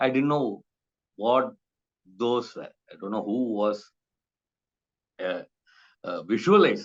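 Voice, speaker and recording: The loudness swings widely. Long pauses come often. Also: man. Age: 50s. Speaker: writer and illustrator. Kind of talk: interview. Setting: video call. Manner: halting, many fillers.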